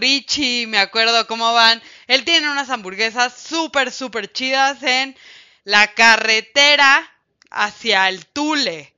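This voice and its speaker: A woman speaks loudly in an animated tone. Her voice is high-pitched. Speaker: radio host. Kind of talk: radio music show.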